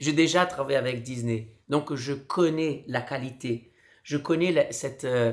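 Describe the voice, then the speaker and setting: Speaking at a fairly slow pace, a man with a fairly high pitch shows ordinary pitch variation. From Brazil. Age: 40s. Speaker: street clown and performer. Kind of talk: casual vlog.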